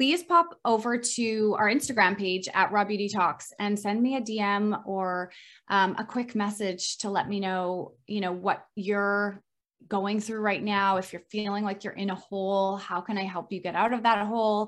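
A normal speaking voice from a woman at a medium pitch, moderate pace and fairly even intonation, in a very clean recording with a silent background. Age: 30s. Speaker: health coach. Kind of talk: interview.

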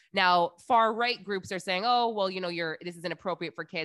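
A woman with a plain, everyday voice and fairly low pitch talks at a fairly quick pace, the sound dry and close with no echo over a quiet background. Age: 30s. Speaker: podcast co-host. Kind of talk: casual chat.

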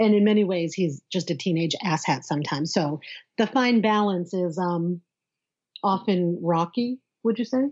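At a moderate pace, a woman with a plain, everyday voice speaks at medium pitch with lively intonation. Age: 40s. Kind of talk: casual interview. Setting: at home, in her son's bedroom.

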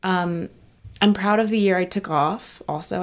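A woman with an American accent, a normal speaking voice, fairly even intonation and a moderate pace. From Texas. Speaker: fashion editor. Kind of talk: interview.

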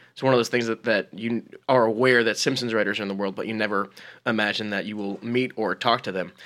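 Very fast, monotone, flat speech from a man at medium pitch, in a very clean recording with a silent background. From New Jersey. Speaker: comedy writer. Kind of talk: casual chat.

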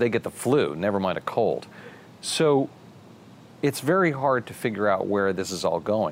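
With a normal speaking voice and an American accent, a man talks at a fairly low pitch with lively intonation. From Maryland. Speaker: business journalist, interview host. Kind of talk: interview.

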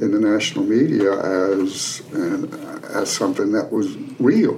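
Noticeable background noise and audible room echo surround a man speaking in an Appalachian accent at a fairly low pitch with ordinary pitch variation. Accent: Appalachian Southern US. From Western North Carolina mountains (Canton). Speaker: retired sociology professor and author. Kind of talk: casual interview.

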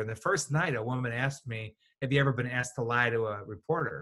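A man's bright, sharp voice with a Chicago accent, medium in pitch with ordinary pitch variation. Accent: Chicago American. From Chicago southwest side, US. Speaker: communications consultant. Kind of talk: interview.

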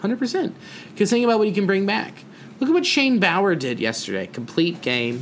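With noticeable background noise behind him, a man speaks at a high pitch and swings it very widely up and down. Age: 20s. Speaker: comedian and podcast co-host. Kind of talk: casual chat. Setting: at a kitchen table.

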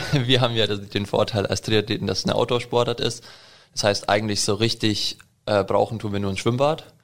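A man with an ordinary speaking voice, medium pitch, fairly even intonation and a fairly quick pace. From Allgäu, Bavaria, Germany. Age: 20s. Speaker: triathlete. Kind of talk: interview.

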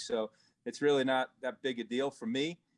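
Here is a man with a Long Island accent. His voice sits at a medium pitch. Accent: Long Island New York. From Long Island, New York. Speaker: race team owner. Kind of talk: casual interview. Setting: remote from the shop.

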